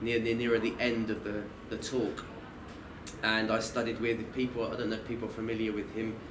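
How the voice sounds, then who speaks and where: This man talks at a fairly quick pace with a medium pitch and a monotone, flat delivery. Noticeable background noise and audible room echo fill the recording. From southern England, Kent (Maidstone). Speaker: Islamic teacher and counsellor. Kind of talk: lecture. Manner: halting, many self-corrections.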